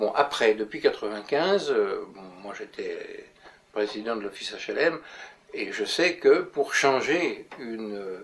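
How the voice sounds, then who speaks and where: A man is talking. His pace is very slow. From France, Paris. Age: 80s+. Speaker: urban planner. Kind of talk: interview. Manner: halting.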